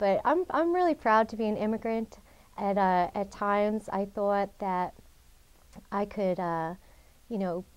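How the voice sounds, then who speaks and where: On a very clean recording with a silent background, a woman with an American accent speaks fairly slowly at medium pitch, with ordinary pitch variation and long, frequent pauses. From US Northeast, Long Island, New York. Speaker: adoptee interviewed for a local oral history project. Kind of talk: personal interview. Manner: conversational, many fillers.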